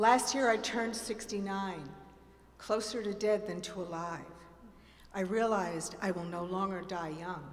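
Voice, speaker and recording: Noticeable background noise and audible room echo fill the recording. The speech has long, frequent pauses. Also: woman, medium pitch for a woman, ordinary pitch variation, moderate pace. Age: 70s. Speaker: performer doing a comic reading. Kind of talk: comic monologue performance. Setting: theatre stage with audience.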